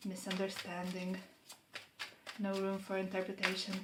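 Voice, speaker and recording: Someone with a non-native accent speaks in a space with audible room echo. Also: woman. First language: not English. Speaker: tarot reader. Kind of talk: tarot reading monologue. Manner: unhurried, pausing to find words.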